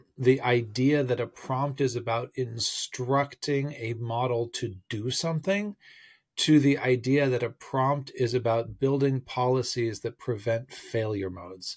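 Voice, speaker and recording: A somewhat breathy man at a very slow pace over a quiet background. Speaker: tech commentator. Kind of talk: casual vlog commentary. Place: home room. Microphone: phone near.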